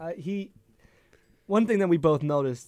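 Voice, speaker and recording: A man speaks with an American accent. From Connecticut. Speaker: sports podcast co-host. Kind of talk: casual chat. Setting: living room.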